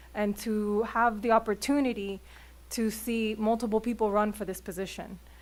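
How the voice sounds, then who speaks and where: Her intonation monotone and flat, a woman talks at a moderate pace. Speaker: public commenter at city council meeting. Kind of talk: public comment. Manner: halting.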